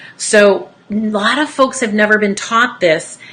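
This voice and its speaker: A woman with an energetic tone and medium pitch speaks through noticeable background noise. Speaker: wellness educator, essential oils distributor. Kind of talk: informational talk to online audience.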